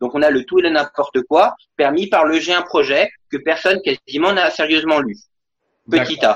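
A moderate pace broken by long, frequent pauses. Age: 40s. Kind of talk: political debate.

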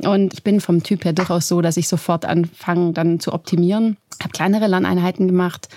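A woman's dark, mellow tone at medium pitch, with ordinary pitch variation. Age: 30s. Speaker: professor. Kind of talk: interview.

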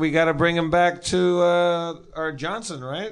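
A man with a high pitch talks, and audible room echo surrounds his voice. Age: 40s. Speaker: podcast co-host. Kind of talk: live comedy podcast chat. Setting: stage with live audience.

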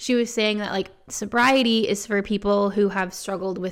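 A plain, everyday voice from a woman of medium pitch, at a fairly quick pace with fairly even intonation, in a very clean recording with a silent background. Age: 30s. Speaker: sobriety podcast host. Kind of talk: casual monologue.

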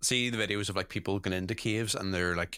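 With a Northern Irish accent, a man speaks in a fairly low pitch and a bright, sharp tone with ordinary pitch variation, in a very clean recording against a silent background. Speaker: podcast host. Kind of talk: casual chat.

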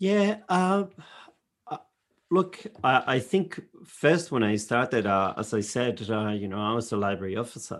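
A man's medium-pitched voice with very wide pitch swings and long, frequent pauses. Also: moderate pace. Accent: European. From Europe. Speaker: librarian. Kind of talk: casual chat. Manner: halting.

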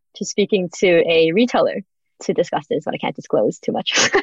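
In an Australian accent, a woman speaks at a very fast pace, the sound dry and close with no echo. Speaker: business founder. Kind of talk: interview.

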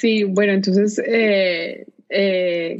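A woman's medium-pitched voice, very slow and monotone with flat intonation. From Colombia, Pereira (paisa region). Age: 30s. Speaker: nonprofit director. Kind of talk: interview.

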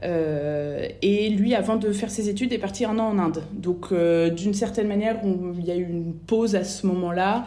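There is audible room echo around a woman speaking. She talks at a very slow pace with a medium pitch. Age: 30s. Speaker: bereaved mother. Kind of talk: testimony. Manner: halting.

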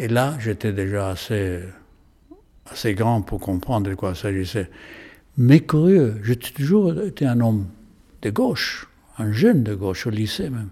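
Speaking at a fairly slow pace with long, frequent pauses, a man of medium pitch uses lively intonation in a dark, mellow tone. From Chile. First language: Spanish (speaking French). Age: 80s+. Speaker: painter. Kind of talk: interview. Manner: halting.

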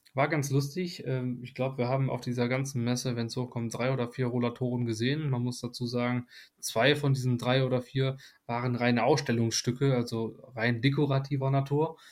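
Speaking fairly quickly, a man holds a medium pitch in a monotone, flat delivery. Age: 20s. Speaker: nursing trainee. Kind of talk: casual chat.

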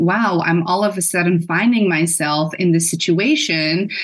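Over noticeable background noise, a woman talks in a fairly low pitch with fairly even intonation. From Netherlands. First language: Dutch. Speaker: perinatal mental health therapist. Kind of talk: interview.

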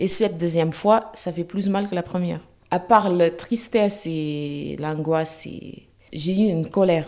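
A woman talks in a plain, everyday voice at a fairly low pitch. Her pace is fairly slow, with ordinary pitch variation. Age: 40s. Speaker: cancer patient. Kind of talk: testimony.

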